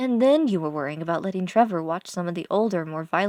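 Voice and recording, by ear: A speaker is reading aloud in a natural voice.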